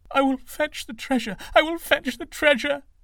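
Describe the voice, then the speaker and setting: A put-on character voice, high-pitched and shaky, delivers the lines. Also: moderate pace. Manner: trembling voice.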